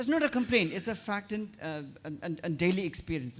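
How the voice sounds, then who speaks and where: With a Tibetan accent, a man speaks. His intonation is lively. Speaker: writer and activist. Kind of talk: panel discussion.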